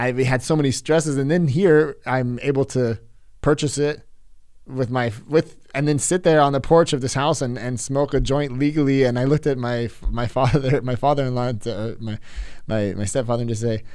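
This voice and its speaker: In a very clean recording with a silent background, a man with a West Coast accent speaks at medium pitch with ordinary pitch variation. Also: moderate pace. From California. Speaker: podcast host. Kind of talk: casual interview conversation. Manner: halting, many fillers and restarts.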